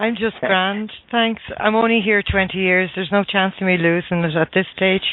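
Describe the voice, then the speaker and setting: A woman with a strong Irish accent speaks at a moderate pace and medium pitch, her loudness very even and her intonation fairly even, with hardly any pauses and noticeable background noise. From Ireland. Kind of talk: casual chat. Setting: radio show, sharing the host's headset.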